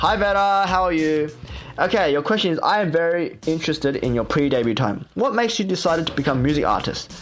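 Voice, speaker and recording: Lively intonation carries the speech, in an Australian accent. Music plays in the background. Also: man. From Australia, Sydney. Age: 20s. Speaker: K-pop idol and radio host. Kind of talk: casual radio show with vlog audio. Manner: casual, many fillers.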